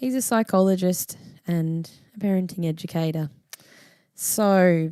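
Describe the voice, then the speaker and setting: A woman speaks with an Australian accent and a dark, mellow tone. Her pitch varies in an ordinary way. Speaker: podcast host. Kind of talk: podcast intro and interview.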